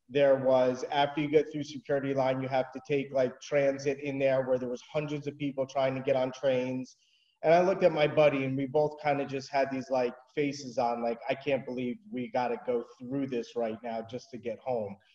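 The man's voice has a dark, mellow tone and fairly even intonation. Room echo is audible around him. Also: moderate pace, quiet background. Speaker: remote interview guest. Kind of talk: interview answer. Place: home room. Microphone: video call.

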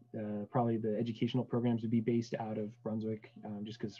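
Slightly breathy, a man races through his words at a very fast rate. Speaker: guest. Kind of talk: interview answer. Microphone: video call.

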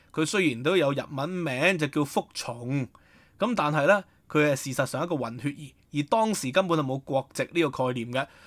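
A man with a Hong Kong accent and a fairly high pitch, dry and close with no echo, on a very clean recording with a silent background. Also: ordinary pitch variation, moderate pace. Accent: Hong Kong Cantonese. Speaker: historian and online commentator. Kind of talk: solo news commentary. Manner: halting, many filler sounds.

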